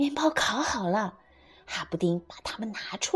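The text is read aloud plainly. Its intonation moves in a lively way.

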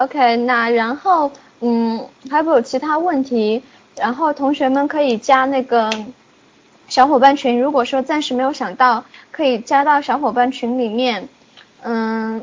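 Fairly slow, high-pitched speech from a woman, with fairly even intonation and long, frequent pauses. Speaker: online class coordinator. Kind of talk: class wrap-up announcement. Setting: office, online class. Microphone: very quiet.

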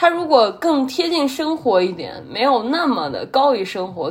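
A woman at a fairly slow pace with very wide pitch swings. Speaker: podcast host. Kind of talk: solo casual monologue.

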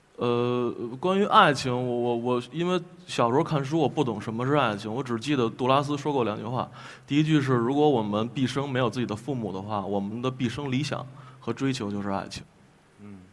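This man has an ordinary speaking voice, pitched in the medium range, and talks at a fairly quick pace with ordinary pitch variation. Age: 20s. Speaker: folk singer-songwriter. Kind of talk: panel discussion.

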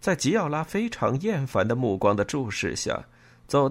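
This is plain reading aloud. The words are read out plainly.

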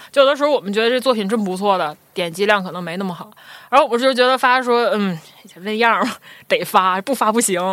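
Talking at a very fast pace, a woman with a fairly high pitch shows ordinary pitch variation and big swings in loudness. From Northeast China, Shenyang. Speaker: designer, studio co-founder. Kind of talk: casual interview chat.

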